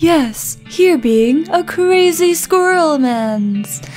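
A put-on character voice crawls along at a very slow pace while music plays clearly behind it. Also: woman. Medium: game stream. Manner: broken grammar, eager.

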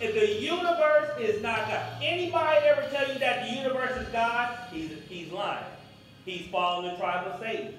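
A man at an extremely high pitch, with very wide pitch swings, big swings in loudness, strong room echo and light background noise. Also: moderate pace. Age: 50s. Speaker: pastor; preacher. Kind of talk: sermon. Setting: church. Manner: animated. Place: church.

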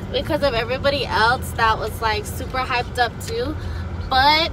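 The pace is fairly slow, with clear music playing in the background. The sound is dry, with no echo. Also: woman. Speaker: vlogger. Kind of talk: casual vlog chat. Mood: chatty, animated. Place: car. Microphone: phone near.

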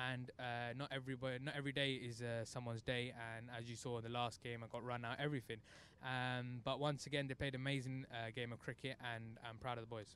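A man talks at a fairly quick pace in a monotone, flat intonation. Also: dry sound with no echo. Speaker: cricket team captain. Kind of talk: post-match interview. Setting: outdoors at cricket ground. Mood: proud, relieved after win. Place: street. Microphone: handheld.

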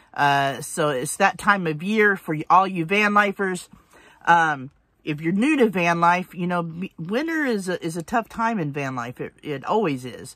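A woman with a fairly low pitch speaks at a moderate pace. The sound is dry with no echo, over a quiet background. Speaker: van life vlogger. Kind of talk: casual vlog chat. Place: car. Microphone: phone near.

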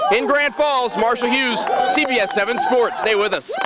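Over crowd noise, a man with an extremely high pitch projects a raised, upbeat and energetic voice at a moderate pace, with ordinary pitch variation and a dry sound with no echo. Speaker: TV sports reporter. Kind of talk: local TV sports news report and live interview. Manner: upbeat, energetic broadcast delivery. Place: stadium. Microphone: handheld.

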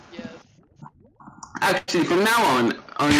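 The pitch of this man's voice swings very widely. He keeps to a moderate pace. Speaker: gaming streamer. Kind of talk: casual chat while gaming. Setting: online voice chat while gaming.

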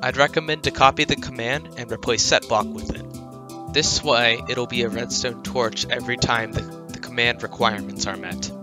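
Music plays in the background as the voice moves at a moderate pace. Loudness shifts in big swings, and the pitch swings very widely. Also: man, medium pitch for a man. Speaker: gaming tutorial creator. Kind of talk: tutorial narration. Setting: home microphone, low quality.

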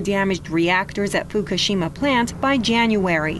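Noticeable background noise is present. Over it, a woman speaks at medium pitch. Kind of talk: news reading. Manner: formal, steady, measured newsreader delivery.

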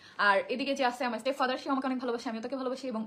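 Noticeable background noise behind a woman's high-pitched voice with lively intonation. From Bangladesh, Barguna. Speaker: social media personality. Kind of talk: personal testimony to viewers.

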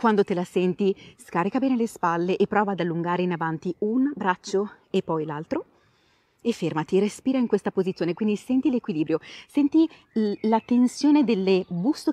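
A woman at a fairly quick pace, her tone dark and mellow, the sound dry with no echo, over a quiet background. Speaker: pilates instructor. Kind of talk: exercise class instructions.

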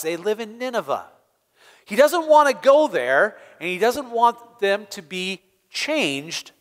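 A man talks at a fairly slow pace, with a quiet background behind him. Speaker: pastor. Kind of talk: children's sermon. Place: church.

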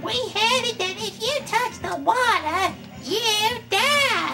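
The speaker uses a put-on character voice at a very slow pace. Loud music plays in the background.

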